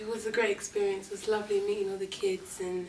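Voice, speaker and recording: A woman in a London accent, medium-pitched and flat, monotone in intonation, at a very fast pace over noticeable background noise. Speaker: actress. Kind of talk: interview.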